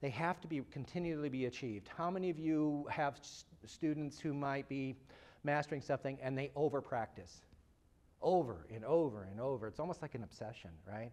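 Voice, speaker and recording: A man talks fairly quickly in a Midwestern American accent. His fairly high voice has lively intonation. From US Midwest. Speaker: psychology researcher and speaker. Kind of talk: lecture. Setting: lecture hall with live audience. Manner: jokey, self-deprecating. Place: classroom.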